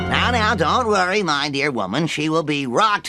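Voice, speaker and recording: A man puts on a cartoonish character voice, pitched fairly high, with very wide pitch swings. He keeps a moderate pace and very even loudness over faint background music. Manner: sloppy, self-satisfied.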